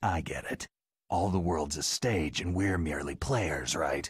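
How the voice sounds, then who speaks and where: A man speaks at a moderate pace in a put-on character voice. His pitch is very deep and low, with ordinary variation. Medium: video game. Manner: terse, understated.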